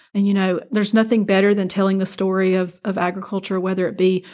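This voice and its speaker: In a Southern US accent, a woman speaks with medium pitch and monotone, flat intonation on a very clean recording with a silent background. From south Georgia, US. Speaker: agricultural expo marketing executive. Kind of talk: interview.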